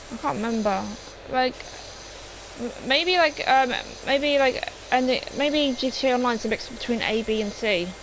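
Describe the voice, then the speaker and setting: Speech with an English accent, long, frequent pauses and noticeable background noise. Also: moderate pace. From England. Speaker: gaming streamer. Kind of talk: live stream chat. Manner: halting, many fillers.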